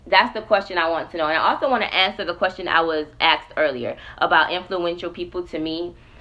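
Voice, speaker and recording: With an animated tone and fairly low pitch, a woman talks at a very fast pace with hardly any pauses. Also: ordinary pitch variation. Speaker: podcast host. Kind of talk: casual livestream talk.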